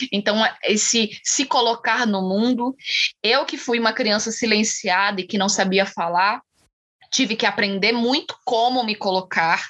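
Pitched fairly high, a woman's voice unfolds at a fairly slow pace. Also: ordinary pitch variation. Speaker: actress and poet. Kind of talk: interview.

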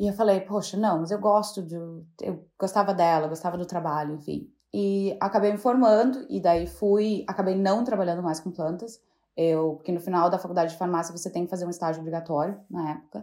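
Very clean recording with a silent background, a woman at a medium pitch, a dark, mellow tone and a fairly quick pace. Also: ordinary pitch variation. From southern Brazil, Rio Grande do Sul (Santa Maria). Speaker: fashion stylist. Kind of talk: casual interview chat.

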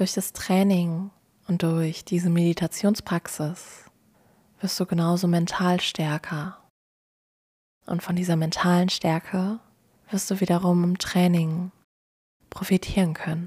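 A woman speaks very slowly with long, frequent pauses, her fairly low, somewhat breathy voice dark and mellow, calm and soothing, and flat in intonation. The recording is very clean, with a silent background. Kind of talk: guided meditation. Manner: slow, calm, soothing and gentle.

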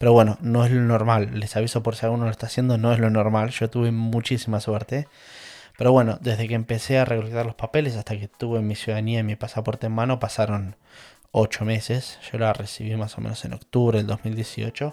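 A man with a Rioplatense accent at a fairly quick pace, medium in pitch, with a dark, mellow tone and monotone, flat intonation, on a very clean recording with a silent background. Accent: Argentine Rioplatense Spanish. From Argentina, La Plata area (Manuel Gonnet). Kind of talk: personal storytelling monologue. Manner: casual with many fillers and repetitions.

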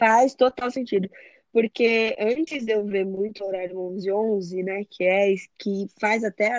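A woman's ordinary speaking voice at medium pitch with ordinary pitch variation, in a dry, close sound with no echo. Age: 20s. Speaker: photographer and digital influencer. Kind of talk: casual chat.

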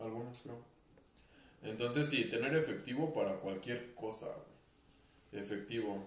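A man with a Mexican accent speaks at a medium pitch, leaving long, frequent pauses, with audible room echo. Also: ordinary pitch variation, fairly slow pace. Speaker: podcast co-host. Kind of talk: casual chat.

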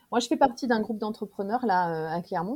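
In a very clean recording with a silent background, a woman with a fairly high pitch and a somewhat breathy voice speaks at a moderate pace with ordinary pitch variation. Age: 40s. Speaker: professional coach and trainer. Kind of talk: casual interview chat.

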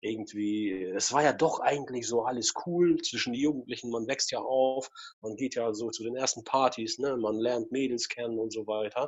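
This man has an unremarkable speaking voice. He keeps a moderate pace with ordinary pitch variation. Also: medium pitch for a man. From Russia. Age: 40s. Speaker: photographer. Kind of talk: interview.

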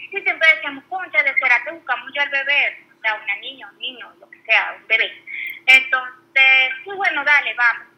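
A woman talks at a moderate pace with a high pitch, lively intonation, and big swings in loudness. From Venezuela. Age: 20s. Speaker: stay-at-home mother, former teacher. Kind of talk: personal birth story in casual interview.

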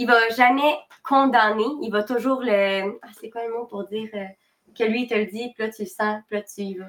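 A normal speaking voice, fairly slow, with fairly even intonation and big swings in loudness. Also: woman, fairly high pitch for a woman. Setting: live stream.

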